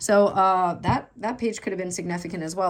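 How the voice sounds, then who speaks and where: A woman talking at a fairly quick pace. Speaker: tarot reader. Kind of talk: tarot reading. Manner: fast; casual, filler-heavy.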